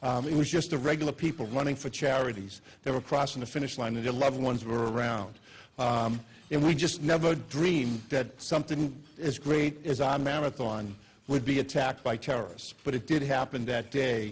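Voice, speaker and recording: A man with a Boston accent, at a fairly quick pace. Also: medium pitch for a man, ordinary pitch variation. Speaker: police chief. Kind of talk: speech. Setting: luncheon stage with audience. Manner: hesitant with many fillers.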